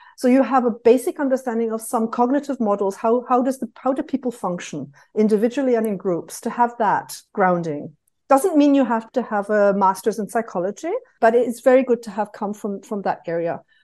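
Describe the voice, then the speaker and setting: A fairly quick voice with a British accent and a dark, mellow tone. The intonation is lively and the background is quiet. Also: woman, fairly high pitch for a woman. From United Kingdom. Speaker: market researcher. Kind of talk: casual interview conversation.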